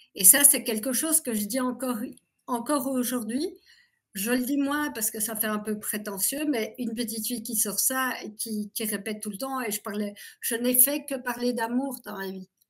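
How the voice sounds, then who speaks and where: A woman with a plain, everyday voice speaks at a moderate pace and a fairly high pitch with ordinary pitch variation, on a very clean recording with a silent background. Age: 60s. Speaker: abuse survivor giving testimony. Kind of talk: interview testimony.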